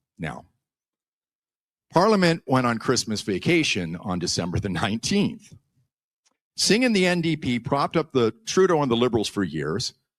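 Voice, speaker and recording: A man with a medium pitch and vocal fry speaks with very wide pitch swings and long, frequent pauses. The recording is very clean, with a silent background and a dry, close sound with no echo. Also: moderate pace. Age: 60s. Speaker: YouTuber and former radio broadcaster. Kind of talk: conference speech.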